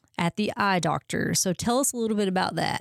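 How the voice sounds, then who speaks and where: This woman has an unremarkable speaking voice at a medium pitch, recorded dry and close with no echo. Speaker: podcast host. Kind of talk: casual interview chat.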